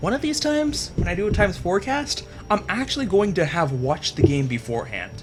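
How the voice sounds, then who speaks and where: Over music in the background, a man talks at a fairly quick pace in an animated tone, his pitch swinging very widely. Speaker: esports caster. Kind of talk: live commentary. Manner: fast; casual, animated.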